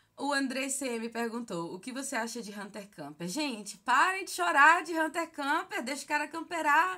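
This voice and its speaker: A woman's raised, projected voice at high pitch, moderate pace and hardly any pauses, with very wide pitch swings, big swings in loudness and a quiet background. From Brazil, Bahia (Feira de Santana); Bahia, Brazil. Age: 30s. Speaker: gaming YouTuber. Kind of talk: casual Q&A vlog. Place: home room. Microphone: phone near.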